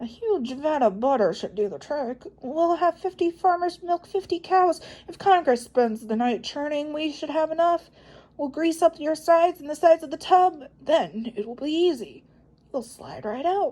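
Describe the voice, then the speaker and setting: Using a put-on character voice, a woman speaks at a moderate pace with a high pitch and lively intonation. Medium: read story.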